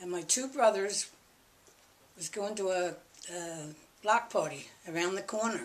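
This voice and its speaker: Speaking at a moderate pace in a Philadelphia accent, a woman uses a medium pitch with ordinary pitch variation. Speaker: interviewee, family elder. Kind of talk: oral history interview. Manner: conversational, halting.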